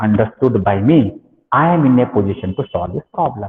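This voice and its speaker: With lively intonation and a medium pitch, a man talks in an unremarkable speaking voice. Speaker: engineering lecturer. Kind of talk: lecture.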